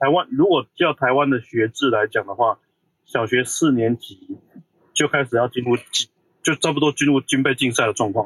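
A normal speaking voice, recorded dry and close with no echo. The pitch varies in an ordinary way at a moderate pace. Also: man, medium pitch for a man. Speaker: semiconductor industry engineer. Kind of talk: casual chat.

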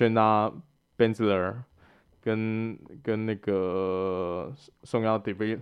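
Here a man talks in a fairly low pitch with fairly even intonation. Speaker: podcast co-host. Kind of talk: casual chat.

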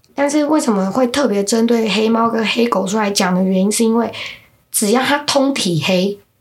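Audible room echo surrounds a woman with a fairly high pitch. She speaks at a moderate pace with ordinary pitch variation. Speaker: podcast co-host explaining folk beliefs. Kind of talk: casual chat.

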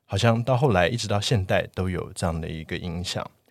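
A man talks at a moderate pace in a very deep, low voice with ordinary pitch variation. The recording is very clean, with a silent background. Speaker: architect, podcast guest. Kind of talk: casual chat.

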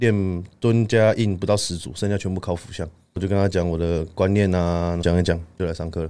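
This man's voice is very deep and low-pitched, with a dark, mellow tone. He talks fairly quickly with fairly even intonation. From Taiwan, Taichung. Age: 20s. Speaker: powerlifting coach and athlete. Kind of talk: casual chat.

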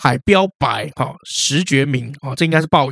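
A man with a Taiwanese accent, an animated tone and ordinary pitch variation. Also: dry, close sound with no echo. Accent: Taiwanese Mandarin. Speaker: history podcast co-host. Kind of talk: casual history storytelling chat.

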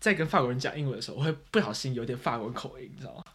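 A man with a medium-pitched voice speaks with ordinary pitch variation and a somewhat breathy quality. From Taiwan. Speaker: podcast host. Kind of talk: casual chat.

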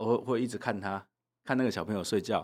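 On a very clean recording with a silent background, a man uses a plain, everyday voice at medium pitch with fairly even intonation. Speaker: legislator. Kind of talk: interview.

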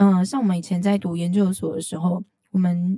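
This woman's dark, mellow tone is somewhat breathy. She speaks at a fairly quick pace. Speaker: podcast host. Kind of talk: interview conversation.

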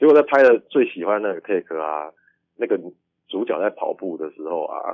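Here a man talks at a moderate pace. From Taiwan, Kaohsiung. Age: 30s. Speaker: film director. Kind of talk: interview. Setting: remote call.

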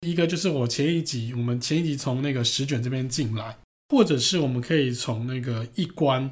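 Talking at a fairly quick pace, this man has a somewhat breathy voice, medium pitch and ordinary pitch variation. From Taiwan. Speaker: podcast host, architecture travel enthusiast. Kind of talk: casual travel chat.

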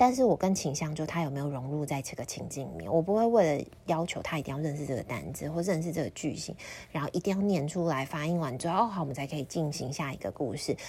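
The speaker is a woman with a somewhat breathy voice. Her pitch is very deep and low. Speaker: storyteller and picture book teacher. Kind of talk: casual solo podcast talk. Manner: chatty with frequent fillers and laughs.

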